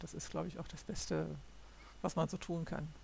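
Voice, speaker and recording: A woman speaks at a moderate pace. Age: 60s. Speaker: podcaster. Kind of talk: solo monologue. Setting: home recording at computer. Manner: halting.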